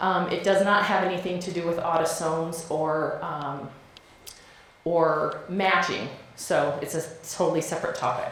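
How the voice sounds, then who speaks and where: A woman's voice at a moderate pace with fairly even intonation, audible room echo, and noticeable background noise. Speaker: genealogy speaker. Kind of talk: conference talk.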